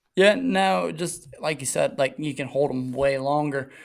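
A man with a fairly high pitch and ordinary pitch variation speaks at a fairly slow pace in an unremarkable speaking voice. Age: 20s. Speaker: motocross and 110 rider. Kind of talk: casual chat.

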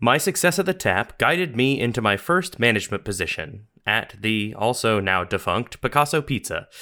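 A man with an American accent, a bright, sharp tone and very wide pitch swings, on a very clean recording with a silent background. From US South. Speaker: podcast host. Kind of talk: scripted narration.

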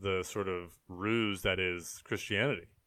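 A man's fairly low voice at a very slow pace. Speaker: comedian and game show announcer. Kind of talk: casual chat. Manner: halting, filler-heavy.

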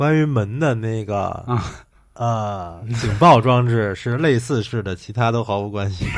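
A man with a plain, everyday voice speaks at a fairly slow pace. His pitch is medium with ordinary variation. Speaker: podcast host. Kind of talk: casual chat.

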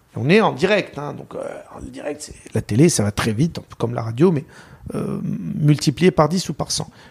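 Vocal fry runs through this man's fairly high voice. His intonation is lively. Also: moderate pace. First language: Arabic (speaking French). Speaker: sports journalist. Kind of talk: interview.

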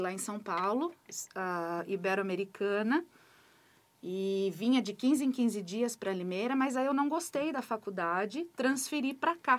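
With an ordinary speaking voice, a woman speaks at a moderate pace, her pitch fairly high and her intonation lively. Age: 40s. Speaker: school principal. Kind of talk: interview.

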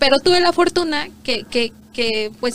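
With lively intonation and a fairly slow pace, a woman speaks against noticeable background noise. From Mexico, Guerrero and Morelos. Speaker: immigrant entrepreneur, former lawyer. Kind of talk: interview. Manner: animated.

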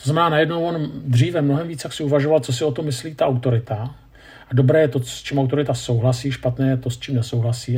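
Somewhat breathy and dark, mellow in tone, a man at medium pitch speaks very fast with fairly even intonation. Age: 50s. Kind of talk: lecture.

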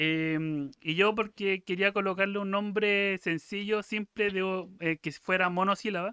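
Someone speaks with a Chilean accent, leaving hardly any pauses. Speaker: podcast co-host. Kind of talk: casual chat.

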